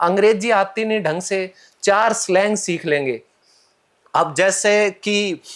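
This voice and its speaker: A man's high-pitched voice. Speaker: English trainer. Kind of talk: podcast interview. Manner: animated.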